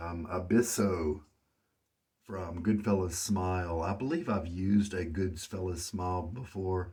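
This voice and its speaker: Somewhat breathy, a man speaks with a very deep, low pitch and fairly even intonation. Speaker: wet shaving hobbyist. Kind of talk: casual talk to camera, shave review.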